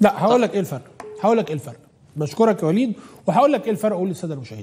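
A man speaks at a high pitch. His tone is animated. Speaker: TV talk show host. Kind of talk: political talk show commentary. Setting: studio. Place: studio. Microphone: lapel.

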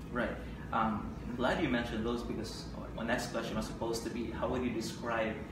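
A man with a Filipino accent at a fairly quick pace, amid audible room echo and noticeable background noise. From Philippines. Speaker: online news editor and interviewer. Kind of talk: interview. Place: studio. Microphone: camera far.

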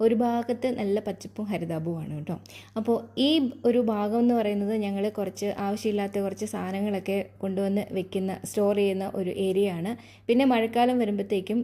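This woman's voice has a dark, mellow tone at a medium pitch and fairly even intonation. The recording is very clean, with a silent background. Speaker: vlogger. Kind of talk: casual vlog narration. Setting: at home.

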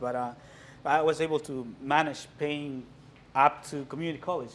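A man at a moderate pace, fairly even in intonation, with light background noise. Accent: Mexican. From Mexico. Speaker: visual artist. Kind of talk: gallery walkthrough talk. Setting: gallery with live audience. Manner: halting. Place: hall. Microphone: camera far.

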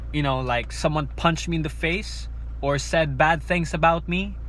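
The sound is dry with no echo as a man talks at a fairly slow pace. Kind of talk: casual vlog chat. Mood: reflective, candid about failing. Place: car. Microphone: phone near.

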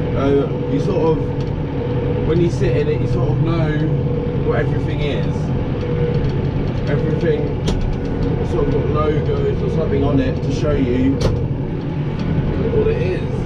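A man speaks at a fairly slow pace with long, frequent pauses. Loud background noise runs underneath. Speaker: tractor driver reviewer. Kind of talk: casual vlog chat. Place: farm machine. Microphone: camera far.

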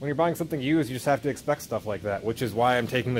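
Light background noise sits behind the voice. A man speaks with fairly even intonation. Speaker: owner doing tractor maintenance. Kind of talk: casual vlog chat. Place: workshop. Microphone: phone near.

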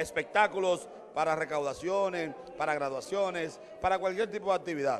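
Light background noise accompanies a man with a high pitch who talks at a moderate pace with ordinary pitch variation. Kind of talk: interview answer. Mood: celebratory, praising. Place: hall. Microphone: handheld.

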